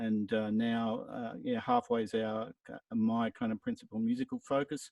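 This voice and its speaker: A man with an Australian accent at a moderate pace. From Brisbane, Australia. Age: 60s. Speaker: musician. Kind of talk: casual chat. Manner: halting.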